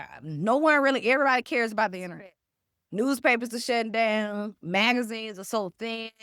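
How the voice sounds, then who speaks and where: Very clean audio with a silent background, carrying a woman's unremarkable speaking voice, fairly high in pitch, with ordinary pitch variation and big swings in loudness. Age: 40s. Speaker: cookbook author and food writer. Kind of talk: interview.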